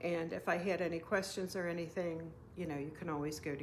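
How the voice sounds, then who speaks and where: A woman with vocal fry speaks at a moderate pace and with fairly even intonation. Audible room echo surrounds her voice. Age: 60s. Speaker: knitting and crafting podcaster. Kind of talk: casual craft vlog, show and tell. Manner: hesitant, many fillers.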